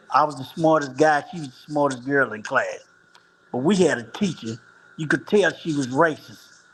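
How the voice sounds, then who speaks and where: Speaking at a moderate pace in an unremarkable speaking voice, a man with an American accent has a fairly high pitch, ordinary pitch variation and big swings in loudness. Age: 60s. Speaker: former street hustler on dialysis. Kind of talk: interview answer.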